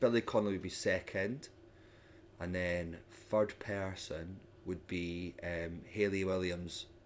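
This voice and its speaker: The speaker has a Scottish accent and fairly even intonation. The pace is very slow. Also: man, very deep, low pitch for a man. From Scotland, Edinburgh. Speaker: comedian and voiceover artist. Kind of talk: casual chat.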